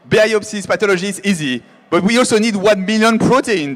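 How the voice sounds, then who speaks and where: This man has a high-pitched voice. He speaks with a French accent. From France. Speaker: AI biotech founder. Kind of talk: keynote talk. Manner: halting.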